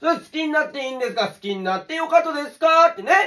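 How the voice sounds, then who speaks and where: A man talks with a Saga accent over a quiet background. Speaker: dialect teacher. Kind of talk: casual comedic dialect lesson to camera. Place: home room. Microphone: phone near.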